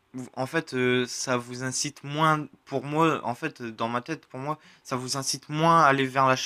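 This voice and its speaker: A man's medium-pitched voice, very slow, bright and sharp in tone, dry and close with no echo, on a very clean recording with a silent background. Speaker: gaming youtuber. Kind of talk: channel update vlog. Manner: halting, many hesitations.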